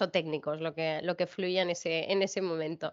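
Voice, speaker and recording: A woman speaks in a plain, everyday voice at a moderate pace. Her intonation is fairly even. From grew up abroad: China, France, United States. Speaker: brand director in pharmaceutical industry. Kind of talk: interview conversation.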